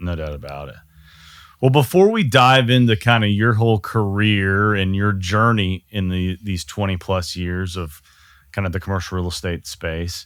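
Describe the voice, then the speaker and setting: On a very clean recording with a silent background, a man with a Texan accent talks in a fairly low voice at a moderate pace. His pitch varies in an ordinary way. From Texas. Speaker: podcast host. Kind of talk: casual interview chat.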